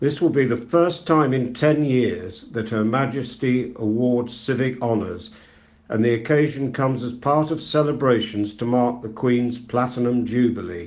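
Here a man with an unremarkable speaking voice talks at a moderate pace, medium in pitch with ordinary pitch variation. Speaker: volunteer news reader. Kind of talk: reading aloud.

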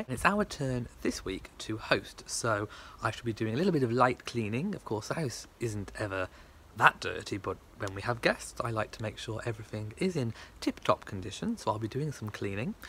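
A bright, sharp voice in a British accent with lively intonation and a moderate pace, dry with no echo, over light background noise. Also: man. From England. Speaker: vlogger. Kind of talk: casual vlog talk to camera. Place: garden. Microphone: phone near.

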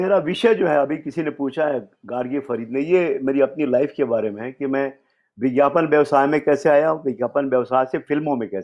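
An ordinary speaking voice from a man, fairly high-pitched at a moderate pace, with ordinary pitch variation and big swings in loudness. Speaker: screenwriter. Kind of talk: storytelling interview.

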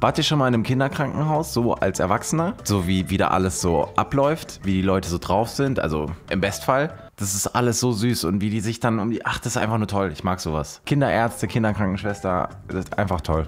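Faint music plays behind a man talking at a fairly quick pace in a fairly low voice. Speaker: reaction video host. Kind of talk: casual commentary. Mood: warm, enthusiastic. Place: home room. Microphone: studio mic.

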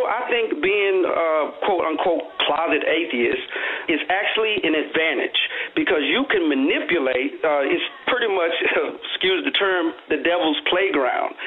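Over music in the background, a man speaks at a moderate pace in a high pitch with very wide pitch swings. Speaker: caller. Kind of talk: caller opinion. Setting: phone call. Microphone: phone line.

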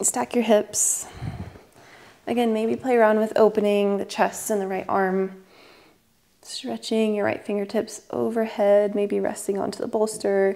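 Soft-spoken and fairly slow, with a calm, gentle, dark, mellow tone and fairly even intonation. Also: woman. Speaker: yoga instructor. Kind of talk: guided meditation. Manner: slow, soft, soothing; calm and gentle. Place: home room. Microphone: lapel.

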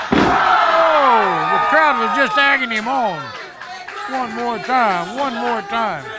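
A man speaks in a raised, projected voice at an extremely high pitch, with very wide pitch swings and a very slow pace. Music plays in the background, and the sound is dry with no echo. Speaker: wrestling commentator. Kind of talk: live wrestling commentary. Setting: wrestling arena with ring. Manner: casual, folksy banter.

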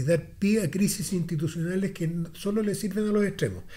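A man's high-pitched voice with a Chilean accent. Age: 60s. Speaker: political commentator. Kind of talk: casual chat. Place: studio. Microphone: studio mic.

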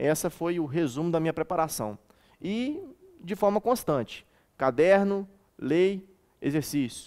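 A man's high voice at a fairly slow pace, with lively intonation and long, frequent pauses, against a quiet background. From Minas Gerais interior, Brazil (Eugenópolis); Minas Gerais, Brazil. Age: 30s. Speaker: military police cadet; interviewee. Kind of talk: interview; interview answer. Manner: halting. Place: studio. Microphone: headset.

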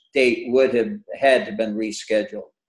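Against a quiet background, a man with an American accent talks, and audible room echo can be heard. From Buffalo, New York; New York. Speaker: retired flight controller; webinar panelist. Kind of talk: panel discussion. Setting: video webinar. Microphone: webcam.

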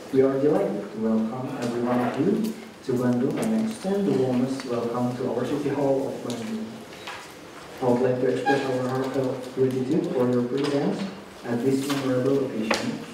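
Strong room echo and noticeable background noise surround this recording. A man speaks at a moderate pace with ordinary pitch variation. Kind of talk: formal ceremony announcement. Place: hall.

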